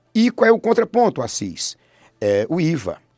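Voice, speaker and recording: The man's voice has a dark, mellow tone. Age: 50s. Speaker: politician. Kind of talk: radio interview.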